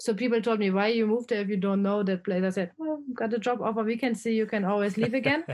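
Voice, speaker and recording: A woman with a German accent talks at a very fast pace with ordinary pitch variation. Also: very even loudness. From Germany. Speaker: expat travel blogger. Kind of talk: casual interview conversation.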